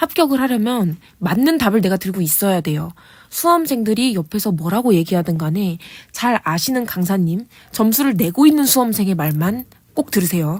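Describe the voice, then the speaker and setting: A woman speaks at medium pitch with very wide pitch swings, sounding somewhat breathy. The recording is very clean, with a silent background. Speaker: exam prep coach / channel host. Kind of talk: lecture-style monologue. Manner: fast.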